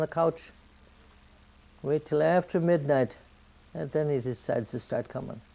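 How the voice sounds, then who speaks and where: A woman with an American accent has a very deep, low pitch and a dark, mellow tone. She speaks at a moderate pace. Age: 80s+. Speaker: grandmother telling family history. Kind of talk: oral history interview.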